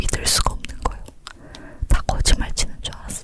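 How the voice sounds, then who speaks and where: A woman whispers over noticeable background noise. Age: 30s. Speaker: ASMR creator and mother. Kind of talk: whispered ASMR chat, telling a personal birth story. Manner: whispering, soft, talkative.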